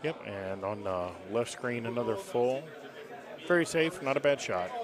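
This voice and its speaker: Noticeable background noise sits behind a man speaking at medium pitch and a moderate pace. His pitch swings very widely. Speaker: golf video game commentator. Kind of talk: live commentary. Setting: announcer's booth.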